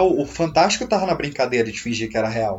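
A man's voice against noticeable background noise. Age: 20s. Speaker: horror film expert. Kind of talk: casual chat.

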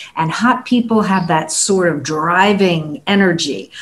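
A somewhat breathy voice at a fairly slow pace, with ordinary pitch variation. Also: woman. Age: 60s. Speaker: communications coach and former radio performer. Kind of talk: panel discussion.

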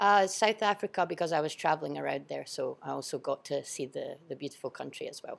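With a strong Scottish accent, the woman talks at a very fast pace with hardly any pauses. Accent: Scottish, fairly strong. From Edinburgh, Scotland. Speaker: school teacher and sports coach. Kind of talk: casual interview. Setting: studio.

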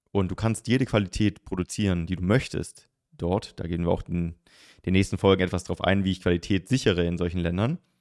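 A man's very deep, low voice at a very fast pace, in a very clean recording with a silent background and a dry, close sound with no echo. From southern Germany. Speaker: podcast host, e-commerce coach. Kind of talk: tutorial. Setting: solo recording on camera.

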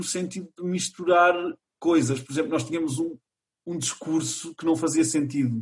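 A man talks in a normal speaking voice, fairly high in pitch, with ordinary pitch variation. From Portugal, Chaves (north). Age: 20s. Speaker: theatre student and college radio member. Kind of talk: casual interview.

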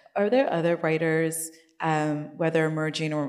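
Noticeable background noise and audible room echo surround a woman speaking at a very deep, low pitch. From Nigeria. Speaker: book club founder and interviewer. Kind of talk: onstage book interview.

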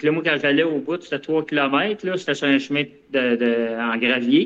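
Ordinary pitch variation marks this man's speech, delivered in a Quebec accent. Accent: Québécois French. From Quebec (Longueuil). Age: 50s. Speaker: ultramarathon runner. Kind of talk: casual interview.

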